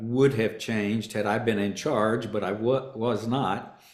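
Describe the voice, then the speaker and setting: A man's medium-pitched voice with a Southern accent and audible room echo. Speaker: actor and stand-up comedian. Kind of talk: interview. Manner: halting.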